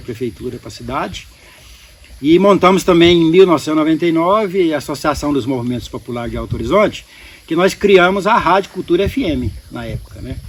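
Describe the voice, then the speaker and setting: A man with a high pitch talks very fast with lively intonation while noticeable background noise runs underneath. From Goiás, Brazil. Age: 60s. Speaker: beekeeper and local entrepreneur. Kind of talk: podcast interview.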